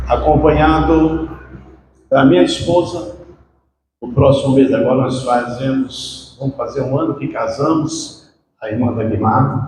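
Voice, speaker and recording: Recorded with audible room echo, this man talks at a fairly slow pace in a fairly high pitch, his intonation showing ordinary variation. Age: 60s. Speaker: preacher. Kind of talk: sermon. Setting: church.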